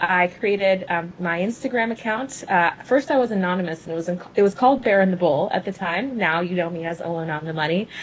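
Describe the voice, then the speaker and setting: With hardly any pauses, a woman talks at a fairly quick pace in a medium-pitched voice with ordinary pitch variation, over noticeable background noise. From US South (Louisville, Kentucky), born in Cuba. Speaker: venture capitalist and finance creator. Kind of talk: interview on live stream. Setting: Instagram live video.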